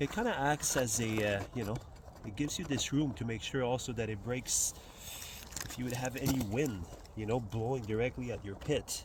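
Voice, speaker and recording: Over noticeable background noise, a man with a Quebec accent talks at a moderate pace and medium pitch, with ordinary pitch variation. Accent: French Canadian accent in English. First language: French. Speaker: outdoors and bushcraft vlogger. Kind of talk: outdoor tutorial. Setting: outdoors by a fire pit. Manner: casual, with many fillers.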